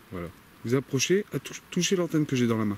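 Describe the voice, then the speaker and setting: Quiet and fairly quick, a man speaks at a medium pitch with very wide pitch swings. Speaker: paranormal investigator youtuber. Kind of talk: solo on-location investigation commentary. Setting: outdoors in a forest at night. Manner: speaking very quietly, hushed.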